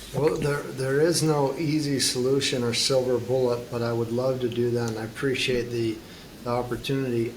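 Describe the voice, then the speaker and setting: Fairly even in intonation, a man speaks at medium pitch with audible room echo and noticeable background noise. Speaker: futurist and climate advocate. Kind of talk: interview conversation. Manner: slow.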